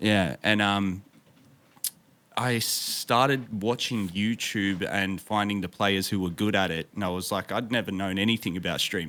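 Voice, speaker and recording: A man speaks with an Australian accent at a moderate pace. His fairly low voice has a bright, sharp tone and fairly even intonation. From Victoria, Australia. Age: 30s. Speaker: streamer and musician. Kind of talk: casual interview chat. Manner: halting, many fillers.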